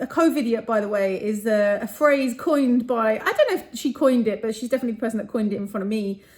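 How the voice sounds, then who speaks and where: Noticeable background noise behind a woman's fairly high voice, ordinary pitch variation, very fast pace, hardly any pauses. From London, England. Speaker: property entrepreneur vlogger. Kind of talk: casual vlog to camera. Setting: hotel room.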